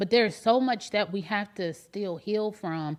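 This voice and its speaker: A plain, everyday voice: a woman at medium pitch with lively intonation, on a very clean recording with a silent background. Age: 40s. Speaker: podcast host. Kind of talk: emotional family conversation. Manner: earnest.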